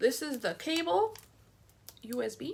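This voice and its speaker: A woman with an American accent talks over noticeable background noise. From Chicago. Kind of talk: product unboxing review to camera. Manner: fast, excited.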